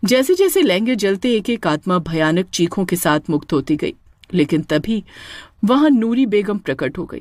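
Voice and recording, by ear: With lively intonation, a natural voice reads the text aloud.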